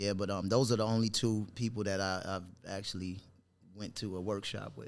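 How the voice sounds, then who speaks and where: Speaking at a moderate pace, a man with a New York accent uses a fairly low pitch and fairly even intonation. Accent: New York accent, noticeable. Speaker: actor. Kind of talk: casual interview chat. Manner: halting, many fillers and restarts.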